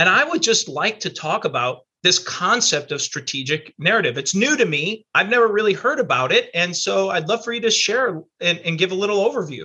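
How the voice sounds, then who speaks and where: A man speaks in a high, bright, sharp voice, raised and projected. His pitch swings very widely at a fairly quick pace with hardly any pauses. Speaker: podcast host. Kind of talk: interview.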